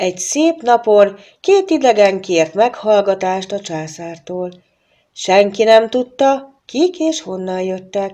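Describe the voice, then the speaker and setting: Against a quiet background, a woman speaks at a very slow pace. Her tone is dark and mellow, with lively intonation. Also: big swings in loudness. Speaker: storybook narrator. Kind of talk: filmstrip storybook narration, scripted fairy tale read aloud. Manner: expressive storyteller, measured pace, shifting tone for characters; formal, old-fashioned diction.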